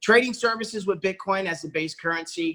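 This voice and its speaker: Raising and projecting his voice, a man talks very fast with an animated, bright and sharp tone and ordinary pitch variation. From Puerto Rico. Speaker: network marketing presenter. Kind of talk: sales pitch.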